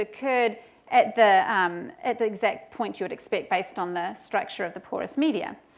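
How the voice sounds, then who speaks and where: At a moderate pace, a woman with a fairly high pitch speaks over a quiet background. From New Zealand. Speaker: professor. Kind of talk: lecture. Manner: hesitant with fillers.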